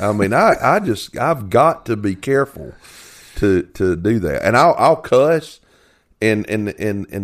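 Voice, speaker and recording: Against a silent background in a very clean recording, a man with an unremarkable speaking voice talks at a medium pitch and a fairly slow pace. His intonation is lively. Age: 50s. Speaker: podcast host. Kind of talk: casual chat.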